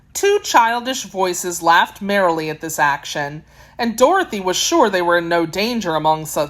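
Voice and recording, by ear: Someone is reading aloud in a natural voice, and the intonation is lively.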